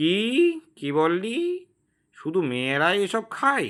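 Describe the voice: A put-on character voice sounds shrill and nasal at a fairly slow pace. The recording is very clean, with a silent background. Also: man, high pitch for a man.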